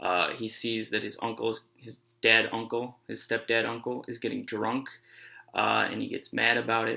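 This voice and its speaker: This soft-spoken man talks at a moderate pace. The recording is very clean, with a silent background. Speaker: high school teacher. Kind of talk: lecture. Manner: halting.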